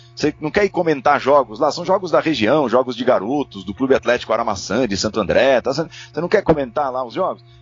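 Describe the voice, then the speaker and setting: Over music in the background, a man talks very fast at a fairly high pitch with lively intonation and hardly any pauses. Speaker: sports commentator and narrator. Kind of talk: casual chat.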